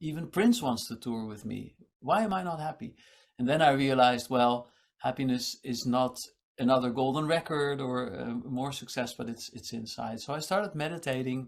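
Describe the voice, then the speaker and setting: This man has an ordinary speaking voice at a medium pitch, with ordinary pitch variation and a moderate pace. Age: 60s. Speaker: meditation teacher and musician. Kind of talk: casual interview chat.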